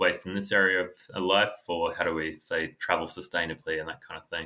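A man talks at a moderate pace with an Australian accent. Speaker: author. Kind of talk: interview. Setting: video call.

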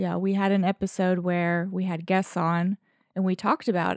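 In a very clean recording with a silent background and a dry, close sound without echo, a woman speaks with a Southern US accent. Her medium-pitched voice moves at a moderate pace in a monotone, flat intonation. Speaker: podcast co-host. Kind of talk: casual chat. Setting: studio. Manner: low energy.

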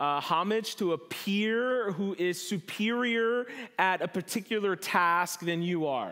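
Here a man speaks with an American accent and a bright, sharp tone. His pitch variation is ordinary. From New Jersey. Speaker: pastor. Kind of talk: sermon. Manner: halting, many fillers.

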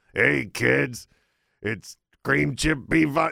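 A man puts on a character voice, fairly low in pitch, raspy and gruff. His pitch swings very widely. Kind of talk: brisk, blunt, talks like a trucker. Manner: gruff, like a trucker.

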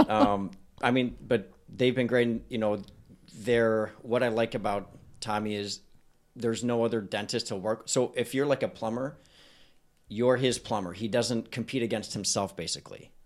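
This is a man in a plain, everyday voice, pitched medium with fairly even intonation. He talks at a moderate pace on a very clean recording with a silent background. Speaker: dentist. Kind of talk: casual chat.

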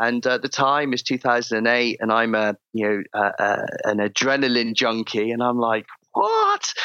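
In a southern English accent, a man with a medium pitch speaks at a fairly slow pace with hardly any pauses, keeping a monotone, flat intonation and very even loudness. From England, Cheltenham, Gloucestershire. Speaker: former Olympic diver and performance coach. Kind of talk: interview. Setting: video call.

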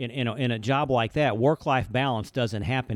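A man with an Alabama accent speaks at a fairly quick pace with ordinary pitch variation, in a very clean recording with a silent background. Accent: Southern US (Alabama). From US South, Birmingham, Alabama. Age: 50s. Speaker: commercial banker. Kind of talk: casual chat. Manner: fast.

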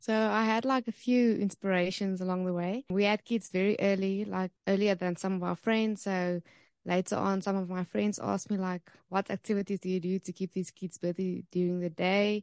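Her delivery is monotone, with flat intonation, in a South African accent. The woman is heard against a quiet background. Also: medium pitch for a woman, moderate pace, dry, close sound with no echo. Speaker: homeschool resource founder.

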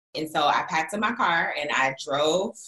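The tone is bright and sharp. Pitch variation is ordinary. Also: woman. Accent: American. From Florida, US South. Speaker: faith-based coach and entrepreneur. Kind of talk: casual interview chat.

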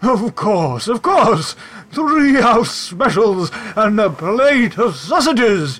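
Using a put-on character voice, a man speaks at a high pitch. His pace is very slow, over light background noise. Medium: actual play. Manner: polite, eager.

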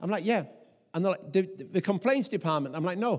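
A man's high voice with lively intonation at a very fast pace. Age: 40s. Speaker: pastor. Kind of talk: sermon.

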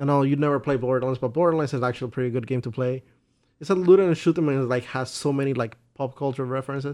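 Talking at a very fast pace, a man with a Spanish accent keeps a medium pitch and fairly even intonation. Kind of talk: casual chat.

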